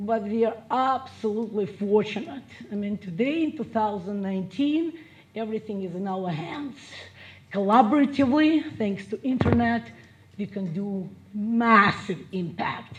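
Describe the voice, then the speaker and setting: Noticeable background noise accompanies a woman with a Russian accent who speaks at a moderate pace, her fairly high voice carrying lively intonation. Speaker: business and marketing coach. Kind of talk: motivational speech.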